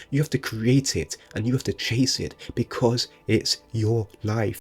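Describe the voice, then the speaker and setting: A man's somewhat breathy voice at medium pitch, with fairly even intonation. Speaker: motivational speaker. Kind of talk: motivational monologue. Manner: casual, unscripted; occasional stutter.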